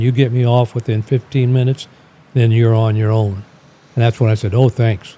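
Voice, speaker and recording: In an American accent, a man with a dark, mellow tone and medium pitch talks at a fairly quick pace with very even loudness. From US Midwest, St. Louis, Missouri. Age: 80s+. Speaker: Air Force veteran. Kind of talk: casual chat. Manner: halting.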